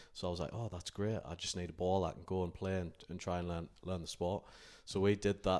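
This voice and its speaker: A man with a northeast England accent, very deep and low in pitch, very fast, monotone and flat, in a very clean recording over a silent background. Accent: northeast England (Durham). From northern England, County Durham. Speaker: basketball coach and college sport manager. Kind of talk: podcast interview. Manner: hesitant, many fillers.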